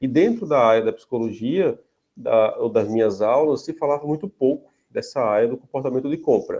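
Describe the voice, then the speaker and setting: The speaker talks at a moderate pace with a northeastern Brazilian accent. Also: man. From Paraíba, Brazilian Northeast. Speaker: psychology professor. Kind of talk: lecture. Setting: video call. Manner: hesitant, many fillers.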